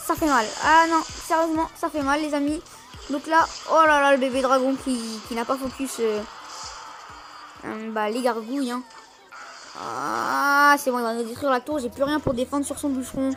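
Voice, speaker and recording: Long, frequent pauses break up a woman's speech at a high pitch. Music plays in the background. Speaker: gaming youtuber. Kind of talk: live gameplay commentary. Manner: fast; animated.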